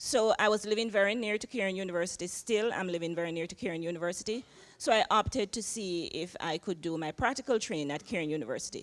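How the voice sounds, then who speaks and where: In a Jamaican accent, a woman talks at a fairly quick pace with ordinary pitch variation. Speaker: social work professor. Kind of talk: panel interview. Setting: chapel panel with audience.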